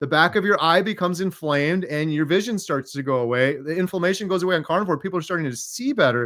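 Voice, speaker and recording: With hardly any pauses, a man talks at a very fast pace in a high pitch with ordinary pitch variation, on a very clean recording with a silent background. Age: 40s. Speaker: interviewee sharing health recovery story. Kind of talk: interview.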